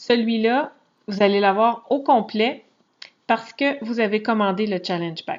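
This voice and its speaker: Fairly slow speech in a Quebec accent with ordinary pitch variation. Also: woman. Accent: Québécois French. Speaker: fitness coach. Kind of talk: screen-share tutorial. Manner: casual, hesitant with fillers.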